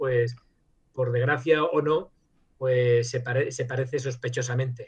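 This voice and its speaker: A somewhat breathy man talks with fairly even intonation. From Spain, Madrid; teen years in Germany. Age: 60s. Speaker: virologist, professor and author. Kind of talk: interview. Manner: hesitant, many fillers and restarts.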